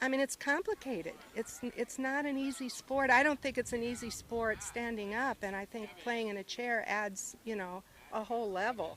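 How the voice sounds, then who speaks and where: With a Midwestern American accent, a woman speaks at a moderate pace and a fairly high pitch, using ordinary pitch variation and hardly any pauses. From US Midwest, small-town Iowa. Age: 60s. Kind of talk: casual interview. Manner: hesitant, many fillers.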